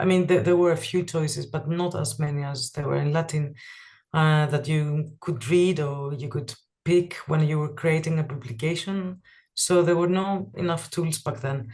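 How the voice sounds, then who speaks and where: This voice has a Greek accent and is somewhat breathy. It moves at a moderate pace with ordinary pitch variation. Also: woman, very deep, low pitch for a woman. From Greece. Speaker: type designer. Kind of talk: interview. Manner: halting, many fillers.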